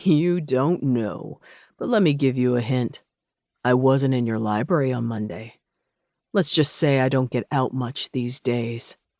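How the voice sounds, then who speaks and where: A man's put-on character voice at medium pitch, smug in tone, at a moderate pace against a quiet background. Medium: read story. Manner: smug, chuckling.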